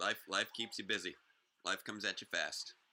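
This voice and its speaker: Moderately paced, a man speaks in a bright, sharp tone with vocal fry. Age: 30s. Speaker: fan show host. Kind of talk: casual chat. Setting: live stream. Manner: halting.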